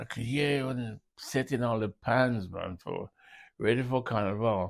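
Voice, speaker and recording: The man talks fairly slowly, his voice at a medium pitch. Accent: Grenadian. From Carriacou, Grenada. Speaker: musician. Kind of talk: oral history interview answer. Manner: hesitant, reminiscing.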